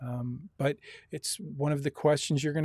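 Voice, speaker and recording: With a plain, everyday voice and an American accent, a man speaks at a moderate pace and fairly high pitch with ordinary pitch variation, in a dry, close sound with no echo. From US Midwest, Lansing Michigan. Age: 60s. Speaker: university instructor. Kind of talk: online lecture. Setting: video call.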